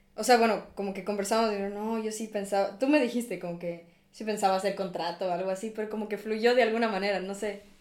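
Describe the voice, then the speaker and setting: A woman at medium pitch, talking at a very fast pace with hardly any pauses, audible room echo around her. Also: fairly even intonation. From Ecuador. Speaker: university student. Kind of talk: casual chat.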